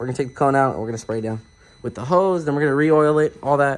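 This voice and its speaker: This man's voice sits at a fairly high pitch. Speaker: car enthusiast vlogger. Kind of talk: DIY tutorial vlog. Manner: casual, slangy; occasionally stuttering.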